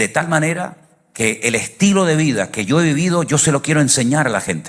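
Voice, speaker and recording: At medium pitch, a man talks at a fairly quick pace. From Venezuela. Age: 60s. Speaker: pastor. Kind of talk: sermon.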